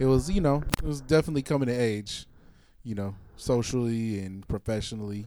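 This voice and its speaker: A dark, mellow tone at a moderate pace, with an American accent. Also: man. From Alameda, California. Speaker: music producer and crew member. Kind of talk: interview conversation.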